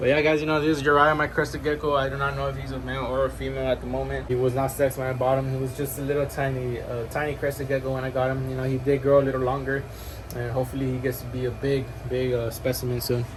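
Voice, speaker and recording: Talking at a very fast pace, a man delivers flat, monotone speech at a medium pitch, with audible room echo and noticeable background noise. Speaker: reptile keeper and youtuber. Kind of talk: casual room tour video. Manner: casual, filler-heavy.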